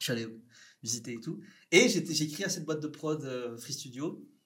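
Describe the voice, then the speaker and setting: The speech moves at a moderate pace with ordinary pitch variation. Audible echo from the room carries through. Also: man. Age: 30s. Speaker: filmmaker. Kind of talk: casual interview.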